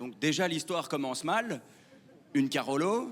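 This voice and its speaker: A man with a Belgian accent, animated tone and lively intonation. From Belgium (Wallonia). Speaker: stand-up comedian. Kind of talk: stand-up. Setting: stage with audience.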